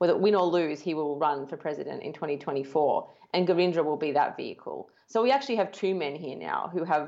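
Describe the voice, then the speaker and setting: This woman has a very deep, low pitch. She talks at a fairly quick pace. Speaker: political researcher. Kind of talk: casual chat.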